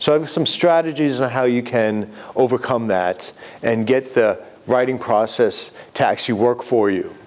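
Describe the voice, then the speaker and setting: Over noticeable background noise, a man with a New York accent talks at a moderate pace in a medium pitch. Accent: New York accent, still present. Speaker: writing instructor. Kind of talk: lecture.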